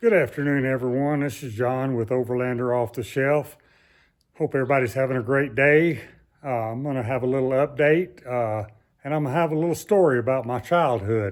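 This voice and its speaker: The speaker has a Southern US accent and talks at a fairly quick pace. Pitch varies in an ordinary way. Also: man, medium pitch for a man. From US South. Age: 70s. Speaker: YouTuber. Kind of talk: casual vlog. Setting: outdoors. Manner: halting.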